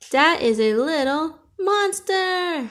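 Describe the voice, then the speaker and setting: Squeaky and at an extremely high pitch, a woman performs in a put-on character voice. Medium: read story.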